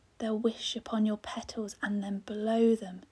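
A woman speaks in a soothing, somewhat breathy tone at a very slow pace. Her pitch is fairly high, and her intonation is monotone and flat. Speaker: poet. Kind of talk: poetry reading.

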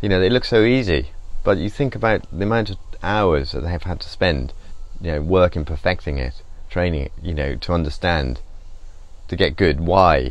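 A man with a very deep, low pitch, vocal fry and lively intonation at a moderate pace, in a dry sound with no echo. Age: 50s. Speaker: painter. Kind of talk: casual chat. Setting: studio. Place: workshop.

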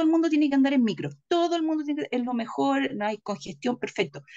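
A woman speaks at a fairly quick pace in a high pitch with a dark, mellow tone. Her pitch swings very widely against a quiet background. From Chile. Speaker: political commentator. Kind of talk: political discussion. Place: home room. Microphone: webcam.

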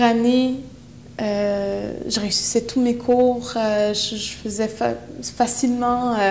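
A woman speaks with a fairly high voice. Her intonation is flat and monotone, with light noise in the background. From Quebec, Innu from Pessamit; Quebec. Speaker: poet and activist; poet. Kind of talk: interview. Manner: halting. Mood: earnest, reflective. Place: empty room. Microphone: lapel.

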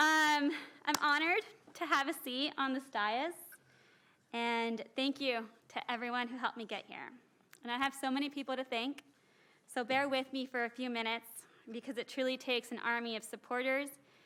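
With an American accent, a woman uses a raised, projected voice, high in pitch and bright, sharp in tone, leaving long, frequent pauses. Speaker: city council member. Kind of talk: inaugural speech. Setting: council chamber with mic. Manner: loud; fast.

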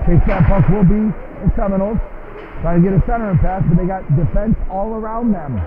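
A man with a high pitch talks at a fairly quick pace in an enthusiastic tone, his pitch varying in an ordinary way over noticeable background noise. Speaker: amateur hockey play-by-play announcer. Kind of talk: rapid-fire live hockey play-by-play, clipped fragments tracking the puck. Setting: rink-side at a live game. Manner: enthusiastic, folksy hype-man energy.

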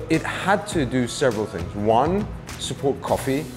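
At a moderate pace, a man talks over clear background music. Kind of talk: interview answer. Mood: positive testimonial. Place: cafe. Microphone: lapel.

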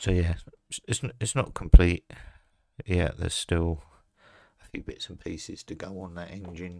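Against a quiet background, a man with an English accent speaks at a moderate pace in a very deep, low voice with a dark, mellow tone, ordinary pitch variation, big swings in loudness and long, frequent pauses. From England. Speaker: scale model builder. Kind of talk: hobby tutorial video. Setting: at a hobby desk. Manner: casual with frequent hesitations. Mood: relaxed, a bit unsure. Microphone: phone near.

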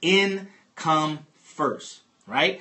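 In a quiet background, a man speaks in an animated tone. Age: 50s. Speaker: real estate investor and money coach; financial education host. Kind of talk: live-stream money talk to viewers; livestream teaching talk. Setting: live stream on a phone app. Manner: animated, lots of repetition. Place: home room.

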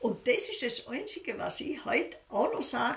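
There is audible room echo as a woman talks with a Bavarian Swabian accent. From Bavarian Swabia, Germany. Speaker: war witness, former kindergarten teacher. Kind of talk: oral history interview answer. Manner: casual, conversational. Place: home room.

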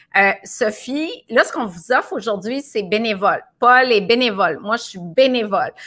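A woman with a Quebec accent speaks at a moderate pace in a fairly high pitch and a bright, sharp tone. Her intonation is lively, with big swings in loudness. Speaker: nutritionist hosting a live video. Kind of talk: casual live stream chat. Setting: live video broadcast. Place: home room.

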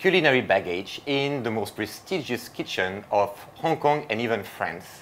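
Lively intonation from a man speaking at a moderate pace. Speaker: host presenter. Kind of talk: presenting introduction. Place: kitchen.

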